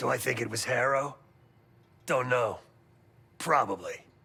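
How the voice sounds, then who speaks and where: A put-on character voice comes across raspy and moves at a moderate pace. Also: man, medium pitch for a man. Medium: video game. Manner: clipped, sardonic.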